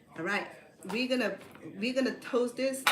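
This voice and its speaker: Audible room echo and noticeable background noise around a female voice. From Cambodia. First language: Khmer. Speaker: cooking show host. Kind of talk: live cooking demonstration. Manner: chatty, informal; halting with repetitions.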